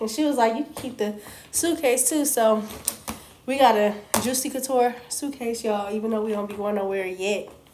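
Speech moves at a moderate pace over noticeable background noise. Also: woman. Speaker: vlogger. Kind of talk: casual talk to camera. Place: home room. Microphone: phone near.

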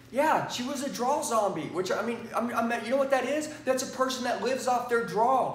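Over audible room echo, a man speaks fairly quickly in an animated tone at an extremely high pitch for a man. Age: 40s. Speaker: sales trainer. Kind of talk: sales pitch. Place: studio. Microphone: lapel.

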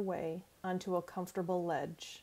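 At a fairly slow pace, a woman speaks in a soothing, warm tone that is also dark and mellow. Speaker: life coach. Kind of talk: guided imagery meditation, second-person sensory narration. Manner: slow, soothing, gently paced with calming pauses; warm, encouraging and friendly. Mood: calm, soothing. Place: home room. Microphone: earbuds.

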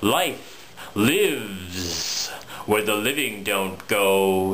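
The delivery is theatrical and playful, with light background noise. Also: man. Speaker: poet. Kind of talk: spoken word poetry, dark macabre Halloween poem. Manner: theatrical, rhythmic, playful-sinister. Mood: dark, playful Halloween tone.

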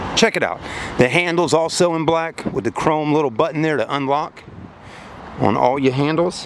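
A man speaks at a moderate pace. The sound is dry with no echo, though there is noticeable background noise. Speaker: car salesman reviewer. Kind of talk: casual product walkaround commentary. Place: street. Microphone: phone near.

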